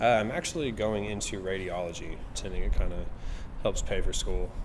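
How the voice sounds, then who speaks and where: A man talks at a fairly quick pace with an American accent. Room echo is audible around him. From Oklahoma Panhandle, US. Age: 20s. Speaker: bartender. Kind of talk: documentary interview. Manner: casual.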